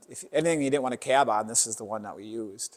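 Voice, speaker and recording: A man with an American accent speaks at a fairly quick pace in a plain, everyday voice, with medium pitch and ordinary pitch variation, on a very clean recording with a silent background. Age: 60s. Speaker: farmer. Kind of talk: casual interview.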